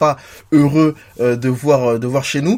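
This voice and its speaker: A man is speaking. His pace is fairly slow. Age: 30s. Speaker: football podcast host. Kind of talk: casual chat.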